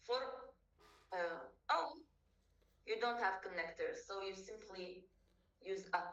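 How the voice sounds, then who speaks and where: A woman with a Kurdish accent at a fairly slow pace, with long, frequent pauses, ordinary pitch variation and audible room echo. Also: medium pitch for a woman. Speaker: language tutor. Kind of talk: tutorial.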